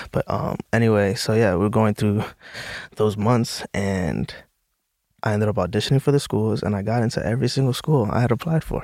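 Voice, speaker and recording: In an ordinary speaking voice, a man with an American accent talks at a fairly quick pace and a fairly low pitch with ordinary pitch variation. The recording is very clean with a silent background. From US Northeast, the Bronx, New York City. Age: 20s. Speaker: actor. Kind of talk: casual chat.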